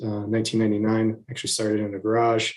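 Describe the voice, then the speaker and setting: Soft-spoken, a man talks at a medium pitch. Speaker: city business development specialist. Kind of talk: presentation to city council.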